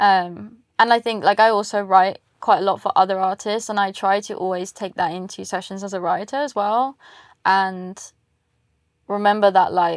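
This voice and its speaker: A woman's fairly even voice in an English accent on a very clean recording with a silent background. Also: medium pitch for a woman, moderate pace. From England. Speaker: singer-songwriter. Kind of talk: interview. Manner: casual, many fillers.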